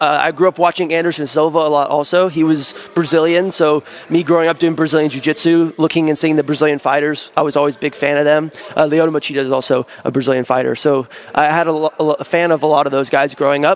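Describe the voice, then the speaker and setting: A man with an American accent, fairly high in pitch, very fast and monotone with flat intonation, his loudness very even, over noticeable background noise. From United States. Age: 20s. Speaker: professional grappler. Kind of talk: interview.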